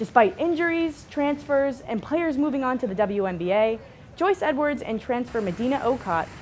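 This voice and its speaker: Over noticeable background noise, a woman talks at a moderate pace in a fairly high pitch with very wide pitch swings. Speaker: student news anchor. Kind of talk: TV news anchor read. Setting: studio. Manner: clear, conversational.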